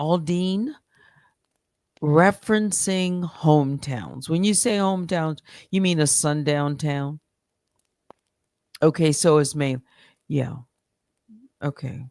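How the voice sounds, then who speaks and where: A woman's very deep, low voice at a very slow pace, with long, frequent pauses and ordinary pitch variation, on a very clean recording with a silent background. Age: 60s. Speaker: live streamer. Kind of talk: casual chat. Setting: live stream. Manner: halting.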